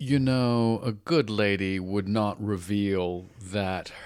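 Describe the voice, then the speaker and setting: Speaking very slowly with a British accent, a man uses a fairly low pitch and ordinary pitch variation. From Britain. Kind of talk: interview answer.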